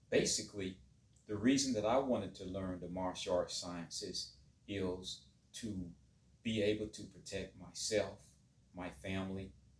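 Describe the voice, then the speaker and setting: A man speaks at a moderate pace, somewhat breathy, with fairly even intonation. His loudness swings a lot, and he takes long, frequent pauses. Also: fairly low pitch for a man. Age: 50s. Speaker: martial arts teacher. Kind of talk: monologue to camera.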